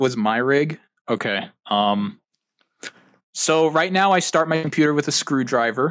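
Over a very clean recording with a silent background, a man with a fairly high pitch uses lively intonation, keeps his loudness very even, and leaves long, frequent pauses. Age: 20s. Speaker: podcast guest, gamer and computer hobbyist. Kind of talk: casual chat.

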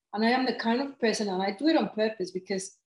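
A woman with a Mexican accent, fairly high in pitch, with lively intonation. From Mexico City. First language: Spanish. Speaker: life coach and author. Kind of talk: casual interview chat. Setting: video call.

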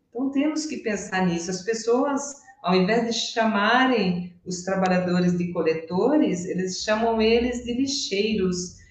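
A woman speaks fairly slowly at a medium pitch, her intonation lively. Audible room echo and noticeable background noise surround her. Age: 60s. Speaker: systemic therapist. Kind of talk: casual interview.

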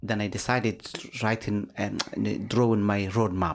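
A man speaks with a Somali accent. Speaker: life coach and community activist. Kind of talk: interview conversation. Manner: formal, lecturing, mentor-like.

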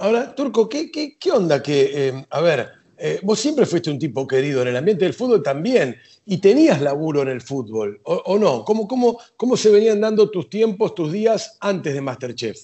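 This man speaks in a Rioplatense accent at a high pitch. His pace is moderate, and his pitch swings very widely. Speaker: podcast host. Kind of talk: interview.

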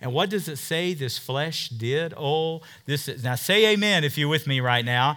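Here is a man with a fairly high pitch. His tone is animated. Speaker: Bible teacher preacher. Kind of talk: sermon, fervent pulpit preaching to a congregation. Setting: church congregation. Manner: animated, emphatic, call-and-response style with rhetorical questions and 'Amen?'; enthusiastic, warm.

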